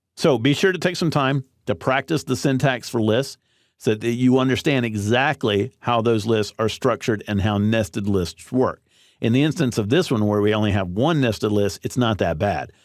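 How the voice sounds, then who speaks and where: A man with a normal speaking voice talks at a medium pitch and a moderate pace, with lively intonation and very even loudness, in a very clean recording with a silent background. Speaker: online course instructor. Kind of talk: tutorial.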